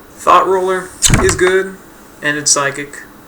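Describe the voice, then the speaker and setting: The voice belongs to a man. There is noticeable background noise in the recording. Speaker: gaming YouTuber. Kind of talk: casual tutorial voice-over. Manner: casual, hesitant with fillers.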